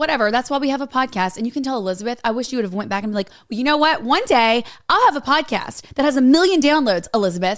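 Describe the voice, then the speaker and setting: Loud and animated, a woman races along at a very fast pace, her high pitch making very wide swings. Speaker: podcast co-host. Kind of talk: casual chat.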